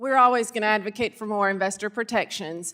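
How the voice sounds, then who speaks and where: A woman with a Southern US accent, fairly high-pitched and very fast, on a very clean recording with a silent background. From Arkansas. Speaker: state securities regulator. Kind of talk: congressional hearing testimony.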